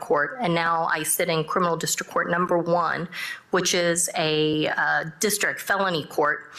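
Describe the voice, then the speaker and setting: There is noticeable background noise as a woman speaks with very even loudness and fairly even intonation. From Texas (Dallas area), born in South Korea. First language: Korean. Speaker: judge. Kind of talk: panel discussion. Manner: halting, many fillers.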